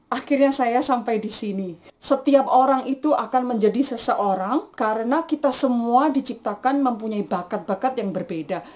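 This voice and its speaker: A woman's high voice in a Javanese accent, at a moderate pace with hardly any pauses and ordinary pitch variation. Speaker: vlogger, aerospace engineering graduate. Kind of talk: personal vlog testimony.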